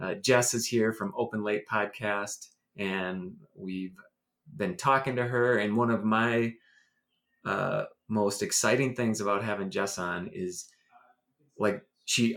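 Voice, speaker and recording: A man in an American accent speaks at a fairly slow pace with long, frequent pauses, his medium pitch showing ordinary variation. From US Midwest. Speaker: podcast host. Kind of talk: casual interview.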